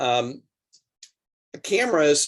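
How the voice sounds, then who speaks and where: Here a man is talking. His intonation stays fairly even. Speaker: drone program instructor for coaches. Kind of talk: online instructional clinic.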